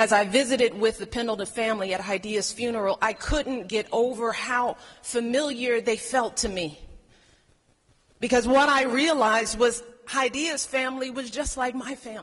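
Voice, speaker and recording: At a moderate pace, a woman with a Chicago accent speaks at a fairly high pitch with ordinary pitch variation. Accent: Chicago, American. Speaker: First Lady. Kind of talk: public speech.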